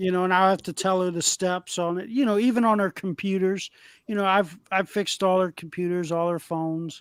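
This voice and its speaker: A man talks loudly at a fairly quick pace, his pitch high and his intonation fairly even. The sound is dry and close with no echo, in a very clean recording over a silent background. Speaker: electrician and former manager. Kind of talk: casual chat.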